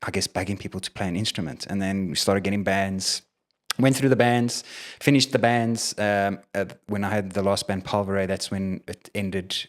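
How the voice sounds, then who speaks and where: Fairly low in pitch, a man speaks with a South African accent. His intonation stays fairly even. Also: moderate pace. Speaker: independent musician. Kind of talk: casual interview chat. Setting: studio with crew in room. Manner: halting, many fillers.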